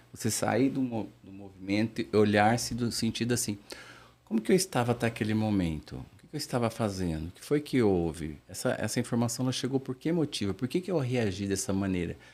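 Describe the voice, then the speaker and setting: A man speaks at a fairly quick pace in a normal speaking voice, his pitch medium and his intonation lively. His loudness swings widely, and the recording is very clean with a silent background. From interior of São Paulo state, Brazil. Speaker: therapist / mind professional. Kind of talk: interview. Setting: studio.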